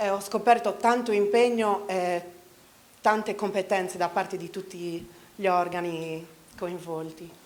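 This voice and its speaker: A woman speaks at a medium pitch and a fairly slow pace with fairly even intonation. She takes long, frequent pauses. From Sardinia, Italy (Medio Campidano). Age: 40s. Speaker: local election candidate. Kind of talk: campaign speech. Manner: halting.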